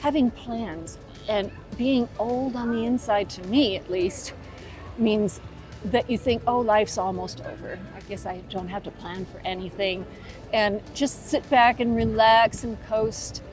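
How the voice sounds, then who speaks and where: Over music in the background, a woman speaks at a fairly slow pace and fairly high pitch with ordinary pitch variation. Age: 70s. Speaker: lifestyle vlogger for seniors. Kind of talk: casual talk to camera.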